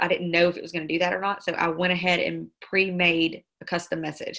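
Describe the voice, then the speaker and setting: A woman's bright, sharp tone in a Southern US accent, fairly low-pitched and fairly quick, with monotone, flat intonation over a quiet background. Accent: Southern country. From Mississippi (Star). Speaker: network marketing trainer. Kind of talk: tutorial. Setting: video call. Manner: fast.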